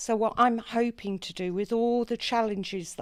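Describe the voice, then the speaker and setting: A woman speaks in a normal speaking voice at a fairly slow pace with fairly even intonation. The recording is very clean, with a silent background. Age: 60s. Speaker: mature student election candidate. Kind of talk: debate opening statement.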